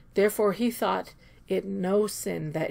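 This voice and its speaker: A woman speaks at a very slow pace with vocal fry. The recording is very clean, with a silent background. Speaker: scripture reader. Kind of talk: scripture read-aloud.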